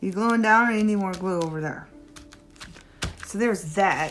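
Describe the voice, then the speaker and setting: Noticeable background noise surrounds a soft-spoken speaker. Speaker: crafting video creator. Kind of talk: tutorial. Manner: quiet.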